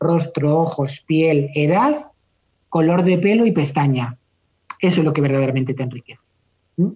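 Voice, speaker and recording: A man's dark, mellow voice at a fairly high pitch, moderate pace, long, frequent pauses. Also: ordinary pitch variation. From Spain, Madrid. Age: 50s. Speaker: makeup artist. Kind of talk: interview conversation.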